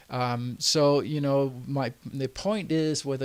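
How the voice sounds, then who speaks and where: With a Danish accent, a man speaks at a fairly high pitch with ordinary pitch variation on a very clean recording against a silent background. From Denmark. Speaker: entrepreneur and website tutor. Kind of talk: tutorial. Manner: halting, many fillers.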